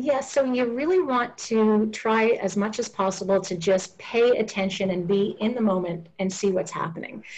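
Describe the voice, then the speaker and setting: Her fairly high, somewhat breathy voice carries ordinary pitch variation. The woman keeps a moderate pace with hardly any pauses. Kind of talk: interview.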